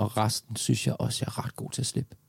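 A man's dark, mellow tone with vocal fry, fairly low in pitch, at a fairly quick pace, with a dry, close sound and no echo. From Denmark, Lyngby near Copenhagen. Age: 40s. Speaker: actor, dancer and public speaker. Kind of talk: casual interview conversation.

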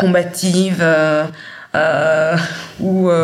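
A fairly low-pitched woman amid audible room echo and noticeable background noise. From Great Lakes Africa. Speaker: interviewee. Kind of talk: testimony.

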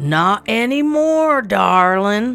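Over music in the background, a put-on character voice drawls in a Texan accent at a fairly high pitch. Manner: drawling.

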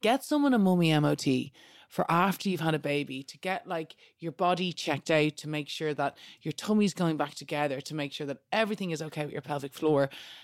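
A woman with a Dublin accent speaks at a fairly quick pace in a very deep, low voice with ordinary pitch variation, recorded very cleanly against a silent background with a dry, close sound and no echo. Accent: Dublin Irish. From Ireland, Dublin. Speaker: DJ and podcast presenter. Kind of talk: casual chat.

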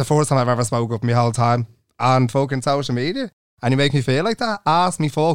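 Someone with an Irish accent talks at a very fast pace on a very clean recording with a silent background. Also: man. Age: 20s. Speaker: podcast co-host. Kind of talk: casual chat. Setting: studio.

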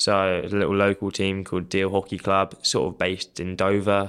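A man with a fairly low pitch at a moderate pace. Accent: southern English. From Kent, southeast England. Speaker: hockey development officer. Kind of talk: interview. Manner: hesitant, many fillers.

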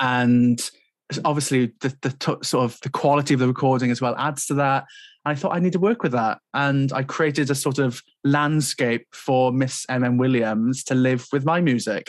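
Speaking in a South Wales Valleys accent, a man keeps fairly even intonation and very even loudness. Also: medium pitch for a man, moderate pace. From Wales, South Wales Valleys. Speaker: composer. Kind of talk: casual chat.

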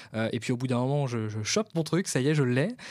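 Recorded very cleanly against a silent background, a plain, everyday voice speaks at a fairly quick pace. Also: man. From France, Vendée. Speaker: podcast host and events company founder. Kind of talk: casual interview.

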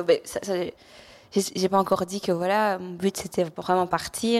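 Recorded very cleanly against a silent background, a woman at medium pitch speaks in a plain, everyday voice at a moderate pace. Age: young. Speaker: adoptee sharing her story. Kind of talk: personal testimony in conversation.

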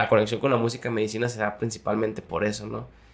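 A man talks in a Jalisco accent at a fairly low pitch. His intonation is monotone and flat. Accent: Mexican Spanish, Jalisco. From Mexico, Jalisco (Zapotlanejo). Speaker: singer. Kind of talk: casual chat.

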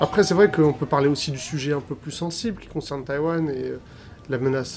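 Fairly high-pitched male speech against noticeable background noise. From France, Algerian heritage. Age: 30s. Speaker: filmmaker. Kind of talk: interview.

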